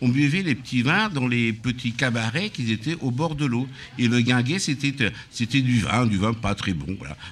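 A man with a normal speaking voice, medium in pitch, fairly slow, with lively intonation. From Auvergne, Aveyron (France). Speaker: restaurant owner. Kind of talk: casual chat. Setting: live broadcast at his riverside venue.

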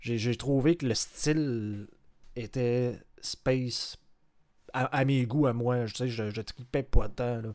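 Speaking at a very slow pace with long, frequent pauses, a man holds a medium pitch and fairly even intonation. The recording is very clean, with a silent background. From Lévis, Quebec. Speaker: podcast co-host. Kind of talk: casual chat.

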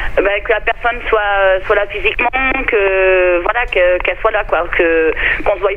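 Over noticeable background noise, a woman with a fairly high pitch talks at a fairly slow pace. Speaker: radio listener caller. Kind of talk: phone-in opinion. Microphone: too quiet, phone line.

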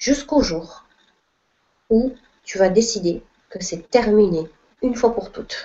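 The speaker is a woman with a fairly high pitch. Her voice moves through very wide pitch swings. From southern France, Perpignan. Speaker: spiritual coach. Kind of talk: live online Q&A talk.

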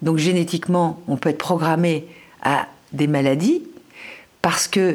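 This woman talks at a fairly slow pace in a fairly low pitch, her intonation fairly even. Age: 60s. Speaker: nutrition author. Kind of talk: interview. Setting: at home.

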